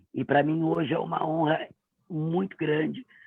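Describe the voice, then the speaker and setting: A woman is speaking. Her pace is fairly slow. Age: 40s. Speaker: voice performer. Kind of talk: self-introduction. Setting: livestream.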